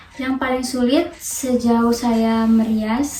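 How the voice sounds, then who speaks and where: A woman's fairly high voice at a very slow pace, monotone and flat, with audible room echo and noticeable background noise. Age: 20s. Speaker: makeup artist. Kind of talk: interview. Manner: hesitant, many fillers.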